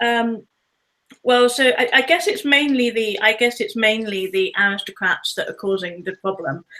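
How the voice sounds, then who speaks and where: With a British accent, a woman speaks in a fairly high pitch with ordinary pitch variation. Her tone is bright and sharp. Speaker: author. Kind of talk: interview.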